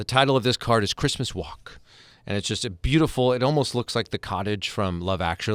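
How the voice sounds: Simply a natural reading voice.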